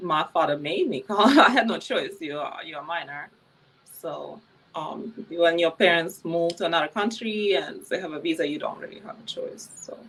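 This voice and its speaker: Speaking with a Ukrainian accent at a moderate pace, a woman with a fairly low voice shows ordinary pitch variation and big swings in loudness amid noticeable background noise. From Ukraine, Kyiv. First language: Ukrainian or Russian. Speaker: former adult film performer. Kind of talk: interview.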